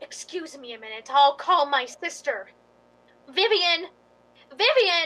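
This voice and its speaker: In a put-on character voice, a woman speaks at an extremely high pitch with very wide pitch swings, a fairly slow pace, and long, frequent pauses. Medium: stage play.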